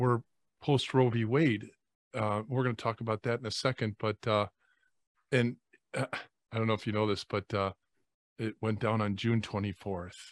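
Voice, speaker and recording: A man at medium pitch talks at a moderate pace with fairly even intonation and long, frequent pauses. The sound is dry and close with no echo, on a very clean recording with a silent background. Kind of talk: prayer and casual chat.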